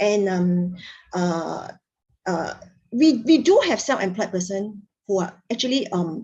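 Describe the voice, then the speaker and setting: A woman speaks at a fairly slow pace with long, frequent pauses, her medium-pitched voice dark and mellow, somewhat breathy, with lively intonation and audible room echo. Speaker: tax trainer. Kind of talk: lecture.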